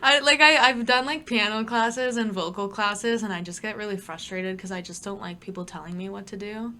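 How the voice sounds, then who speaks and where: In a Toronto accent, a woman speaks at a fairly quick pace with hardly any pauses, in a medium pitch with ordinary pitch variation. Her tone is bright and sharp, with big swings in loudness. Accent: Canadian English (Greater Toronto Area). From Ontario, Canada (Brampton). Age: 20s. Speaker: singer and rapper. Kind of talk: casual chat.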